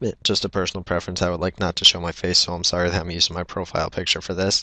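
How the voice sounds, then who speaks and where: A soft-spoken man with a very deep, low pitch and a bright, sharp tone, at a very fast pace with monotone, flat intonation, in a dry, close sound with no echo over a quiet background. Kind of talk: video response questions. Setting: at home at night, recorded without webcam.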